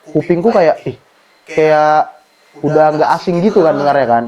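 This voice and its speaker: Noticeable noise fills the background. A man speaks fairly slowly at a fairly high pitch. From North Sumatra, Batak/Medan. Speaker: university student. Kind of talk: podcast interview.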